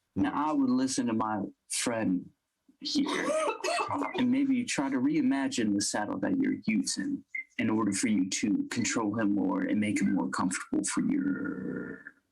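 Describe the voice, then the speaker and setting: Putting on a character voice, a man delivers his lines at a moderate speed. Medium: actual play. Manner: formal, gentle.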